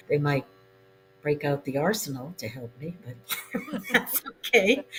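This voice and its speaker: Over music in the background, a woman with an American accent talks with very wide pitch swings. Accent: occasional Boston. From New England, Boston. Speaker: novelist. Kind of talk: interview.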